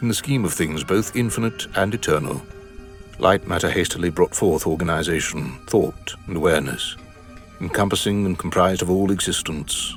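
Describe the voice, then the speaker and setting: Music plays behind a man with a very deep, low voice. He speaks at a moderate pace with ordinary pitch variation. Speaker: audiobook narrator. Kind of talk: epic fantasy prologue narration.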